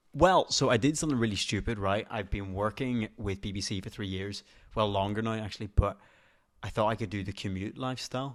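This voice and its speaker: Fairly quick speech from a man at fairly low pitch with ordinary pitch variation, in a very clean recording with a silent background. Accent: Northern Irish. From Northern Ireland. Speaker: TV presenter. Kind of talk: podcast interview answer. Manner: casual, chatty.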